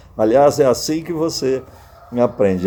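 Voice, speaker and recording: A man's lively intonation at a moderate pace, against noticeable background noise. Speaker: pastor and preacher, retired air force colonel. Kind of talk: sermon / Bible teaching to camera.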